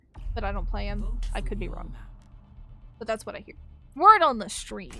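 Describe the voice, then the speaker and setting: A woman speaks in an animated tone at a moderate pace, her loudness swinging widely, with music in the background and audible room echo. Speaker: gaming streamer. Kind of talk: livestream chat while gaming.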